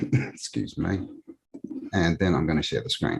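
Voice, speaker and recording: A man speaks with a very deep, low voice and an Australian accent. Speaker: alternative history researcher. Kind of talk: casual interview.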